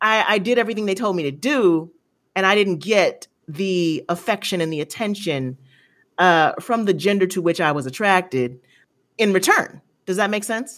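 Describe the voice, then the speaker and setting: A woman with an American accent in a normal speaking voice, at medium pitch and moderate pace with lively intonation, on a very clean recording with a silent background. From US, grew up in military communities. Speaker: podcast guest, commentator on colorism. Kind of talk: casual interview chat.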